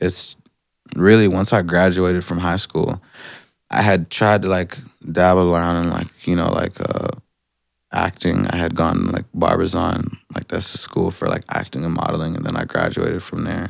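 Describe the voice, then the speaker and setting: A man's very deep, low voice with an Atlanta accent, monotone and flat in intonation, on a very clean recording with a silent background. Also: moderate pace. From Atlanta, US South. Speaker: rapper. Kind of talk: casual chat.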